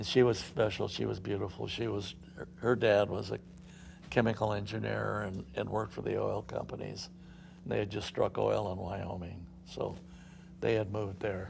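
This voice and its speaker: A man with an American accent, fairly low pitch, vocal fry, fairly even intonation and a moderate pace. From Southern California. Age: 80s+. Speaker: company founder. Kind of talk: interview storytelling. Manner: halting, many fillers.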